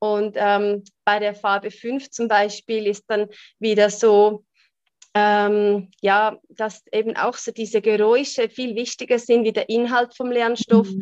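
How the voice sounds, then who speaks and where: At a very slow pace, a woman speaks with fairly high pitch and a monotone, flat intonation, recorded dry and close with no echo. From Switzerland. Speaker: human design coach. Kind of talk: interview.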